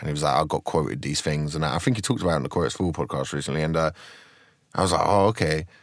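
Talking at a very fast pace with a slight south London accent, a man uses a very deep, low voice with vocal fry and ordinary pitch variation. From Croydon, south London. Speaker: stand-up comedian.

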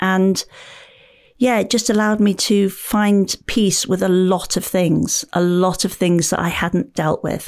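In a British accent, the speaker talks at a fairly slow pace with fairly even intonation and very even loudness, on a very clean recording with a silent background. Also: woman, medium pitch for a woman. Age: 50s. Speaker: author and paddleboarder. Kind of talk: podcast interview.

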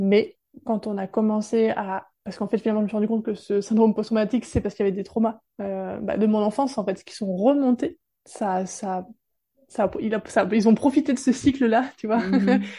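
Somewhat breathy and dark, mellow in tone, a woman talks at a fairly quick pace. Her pitch is fairly high and her intonation fairly even. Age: 30s. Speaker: women's support practitioner. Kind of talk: testimony.

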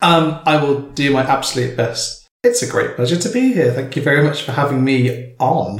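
Noticeable background noise sits behind a man with a fairly high pitch and ordinary pitch variation. He keeps a moderate pace with hardly any pauses. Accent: English Midlands. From England, Northampton. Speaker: artist and poet. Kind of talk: casual chat. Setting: home kitchen.

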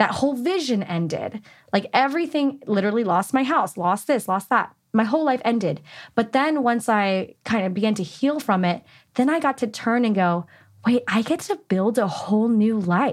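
A woman with a plain, everyday voice speaks at a moderate pace and fairly high pitch, her intonation lively and her loudness very even, in a very clean recording with a silent background. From California. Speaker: podcast host. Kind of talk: casual chat.

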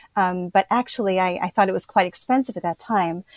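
A woman with an unremarkable speaking voice talks at medium pitch with ordinary pitch variation, recorded very clean with a silent background and a dry, close sound with no echo. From Pennsylvania, US. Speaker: writer and educator. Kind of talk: interview conversation.

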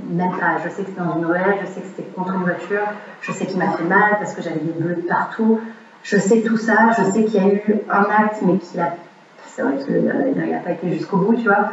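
Speaking at a fairly quick pace, a woman with a medium-pitched voice is heard amid noticeable background noise and audible room echo. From Quebec. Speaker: fitness coach. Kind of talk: casual chat. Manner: animated; fast. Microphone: poor recording sound.

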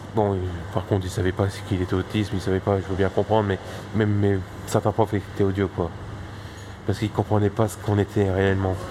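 A man talks very fast in a fairly low voice with monotone, flat intonation. His speech has long, frequent pauses. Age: 20s. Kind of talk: casual interview. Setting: bistro. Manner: halting.

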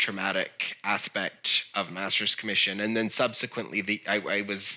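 On a very clean recording with a silent background, a man speaks at a fairly low pitch. His tone is bright and sharp, with monotone, flat intonation. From US South. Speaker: former cult member. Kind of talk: interview testimony. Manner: halting.

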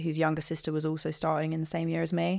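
In a very clean recording over a silent background, a woman speaks in a southern English accent with a very deep, low pitch and fairly even intonation. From southern England (Guildford, Surrey). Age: 20s. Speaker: podcast guest. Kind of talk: casual interview chat.

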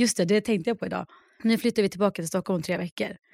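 On a very clean recording with a silent background and a dry, close sound with no echo, a woman talks at a medium pitch with ordinary pitch variation. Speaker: podcast co-host. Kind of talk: casual chat.

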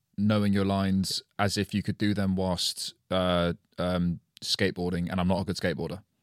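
A man with a very deep, low voice. The recording is very clean and silent behind him, with very even loudness. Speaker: podcast host. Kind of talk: casual chat. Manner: fast, animated; halting, rambling.

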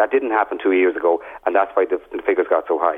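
Speaks with an Irish accent. The pace is very fast. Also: man. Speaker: junior housing minister. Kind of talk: radio interview.

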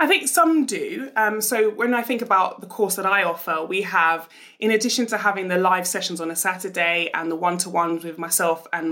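Over noticeable background noise, a woman at a medium pitch talks at a fairly quick pace with lively intonation. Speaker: entrepreneur and business mentor.

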